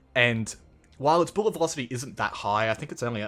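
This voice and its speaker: An Australian accent from a man at medium pitch, very fast, with music in the background. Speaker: gaming YouTuber. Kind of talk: gameplay commentary.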